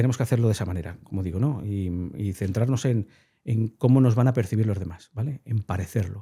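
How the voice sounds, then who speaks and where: A very fast, somewhat breathy male voice, fairly low in pitch, with a dark, mellow tone and ordinary pitch variation. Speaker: behavioral science communicator. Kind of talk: interview conversation. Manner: animated.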